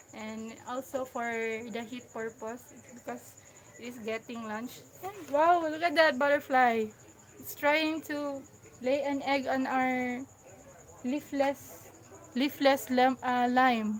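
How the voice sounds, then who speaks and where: A woman with a high voice talks very slowly, with fairly even intonation, big swings in loudness and long, frequent pauses. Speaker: gardening vlogger. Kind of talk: casual vlog talk. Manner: halting, self-correcting.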